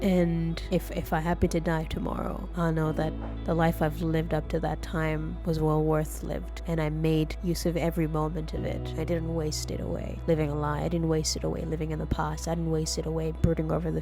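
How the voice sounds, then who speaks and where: Music plays in the background. A woman talks at a moderate pace with hardly any pauses. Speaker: software business owner. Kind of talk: casual talk to camera.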